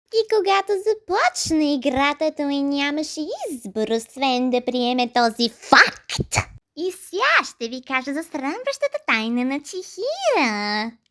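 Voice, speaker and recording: This is a cartoonish character voice with a high pitch. Its tone is theatrical. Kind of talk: comic overacting. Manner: mocking, theatrical.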